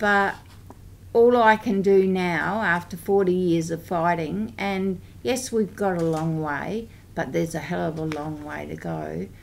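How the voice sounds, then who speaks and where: A woman speaks at a fairly slow pace with an Australian accent. Her pitch is fairly low, with ordinary variation. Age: 60s. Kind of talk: parliamentary briefing speech. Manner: hesitant with frequent ums.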